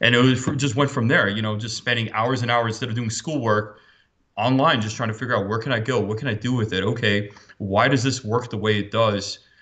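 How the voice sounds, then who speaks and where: A man with a plain, everyday voice speaks at a medium pitch and fairly quick pace, his intonation fairly even. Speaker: cybersecurity expert. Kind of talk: interview.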